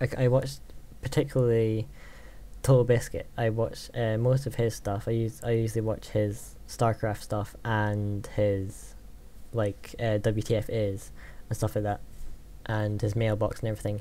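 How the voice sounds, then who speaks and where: A man with a Scottish accent speaks at a medium pitch and moderate pace in monotone, flat intonation. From Scotland. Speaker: gaming YouTuber. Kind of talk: Q&A vlog. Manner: hesitant, many fillers.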